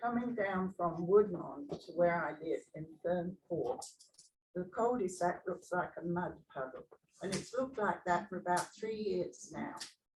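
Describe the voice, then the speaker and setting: This woman's pitch is medium. A somewhat breathy quality runs through her voice. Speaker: community resident speaking at meeting. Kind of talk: public comment at community meeting. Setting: community association open meeting.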